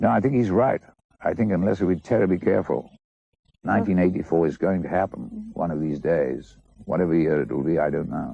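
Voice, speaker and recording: The speaker talks at a fairly quick pace with lively intonation. Vocal fry is audible. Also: man, very deep, low pitch for a man. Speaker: actor. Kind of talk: interview answer. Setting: television studio.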